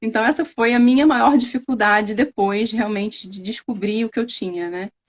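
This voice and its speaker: At a moderate pace, a woman with an interior Rio de Janeiro accent speaks in a fairly high, somewhat breathy voice with ordinary pitch variation and big swings in loudness. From Brazil, interior of Rio de Janeiro state. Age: 30s. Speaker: scientist. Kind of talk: interview testimony. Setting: live stream.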